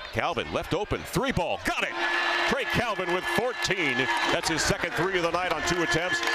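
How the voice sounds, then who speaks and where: The sound is dry, with no echo. Loud background noise runs underneath. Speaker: basketball play-by-play announcer. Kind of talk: live sports commentary, play-by-play call of a basketball game. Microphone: headset.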